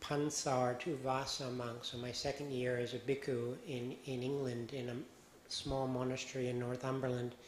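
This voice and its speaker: Heard with audible room echo, a man with an American accent talks at a fairly slow pace in a medium pitch. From United States. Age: 60s. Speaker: Buddhist monk. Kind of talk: dharma talk. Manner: halting.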